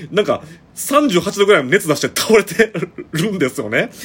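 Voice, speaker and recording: Over noticeable background noise, a man with a Kansai accent speaks in a high voice that swings very widely in pitch. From Shiga, Kansai (Shigaraki). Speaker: podcaster. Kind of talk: casual solo monologue. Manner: casual, chatty with laughs.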